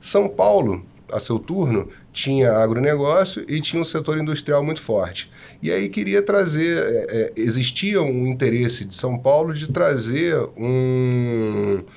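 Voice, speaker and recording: At a fairly slow pace, a medium-pitched man speaks with lively intonation. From Rio de Janeiro, Brazil. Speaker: tax consultant. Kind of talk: podcast discussion.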